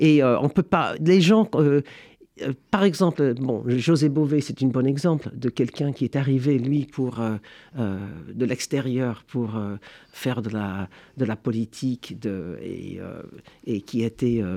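A man with a dark, mellow tone speaks very slowly at a medium pitch, with lively intonation and long, frequent pauses. The recording is very clean, with a silent background. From United States. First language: English (speaking French). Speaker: history professor. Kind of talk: interview. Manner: halting.

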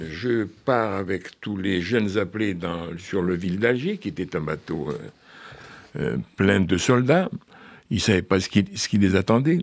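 A man speaks very slowly in a fairly low voice. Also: lively intonation. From Algeria (French pied-noir). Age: 80s+. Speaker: author. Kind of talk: radio interview.

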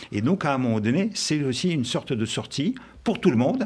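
Pitched fairly high, this man's voice swings very widely in pitch. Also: very clean recording, silent background. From Russia. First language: Russian (speaking French). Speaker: journalist and former intelligence officer. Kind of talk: live radio debate.

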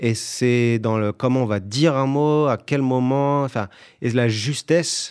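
Over a silent background in a very clean recording, a man speaks very slowly in a medium pitch with fairly even intonation. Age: 30s. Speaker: actor and musician. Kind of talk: interview.

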